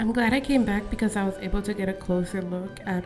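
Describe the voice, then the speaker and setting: Music plays in the background as a woman speaks at a moderate pace in a medium pitch. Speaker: artist. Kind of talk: vlog voiceover narration.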